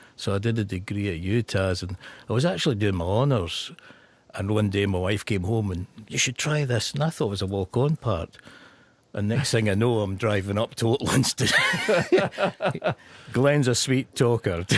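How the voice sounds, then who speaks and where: A man with a Scottish accent, fairly low in pitch, ordinary pitch variation, moderate pace, dry and close with no echo, over noticeable background noise. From northeast Scotland. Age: 60s. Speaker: actor. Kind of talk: radio interview. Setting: radio studio.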